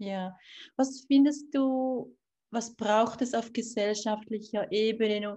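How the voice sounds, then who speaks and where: A woman with a fairly high pitch and a dark, mellow tone, somewhat breathy, at a very slow pace with fairly even intonation, over a quiet background. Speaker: podcast host, author. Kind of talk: interview.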